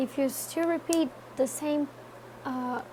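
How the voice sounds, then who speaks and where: A woman speaks in a high pitch with a non-native accent. Her pitch variation is ordinary. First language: not English. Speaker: tarot reader. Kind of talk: tarot reading talk to camera. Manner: casual, hesitant.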